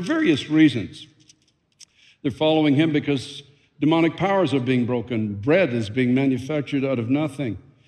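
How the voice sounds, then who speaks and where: This man talks at a moderate pace in a fairly high pitch, with a normal speaking voice and ordinary pitch variation. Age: 60s. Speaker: pastor. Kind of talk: sermon. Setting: church.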